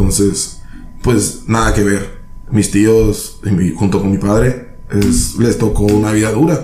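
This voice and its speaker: A man at a very slow pace and fairly low pitch, ordinary pitch variation and very even loudness, amid noticeable background noise and audible room echo. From San Luis Río Colorado, Sonora, Mexico. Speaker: health professional. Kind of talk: casual chat.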